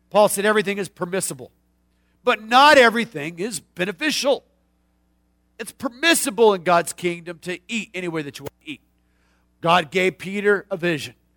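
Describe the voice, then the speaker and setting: A man speaks in an animated, bright and sharp voice, high-pitched for a man, at a fairly quick pace with lively intonation, long and frequent pauses, big swings in loudness, and a dry, close sound with no echo. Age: 40s. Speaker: pastor. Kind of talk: sermon.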